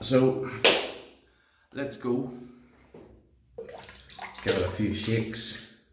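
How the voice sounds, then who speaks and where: A medium-pitched man talks at a very slow pace with long, frequent pauses and fairly even intonation. Audible room echo and noticeable background noise fill the recording. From Northern Ireland. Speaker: shaving video creator. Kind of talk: casual tutorial monologue.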